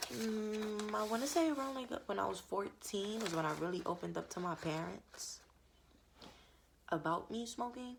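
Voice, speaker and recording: A woman with a normal speaking voice at a medium pitch, lively intonation and a moderate pace. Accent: American. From New York. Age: 20s. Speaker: vlogger. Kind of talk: personal vlog monologue. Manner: casual, candid.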